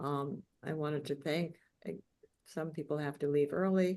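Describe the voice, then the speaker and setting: Her voice is a very deep, low pitch for a woman, with ordinary pitch variation. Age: 80s+. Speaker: memoir author. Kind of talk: lecture. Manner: halting.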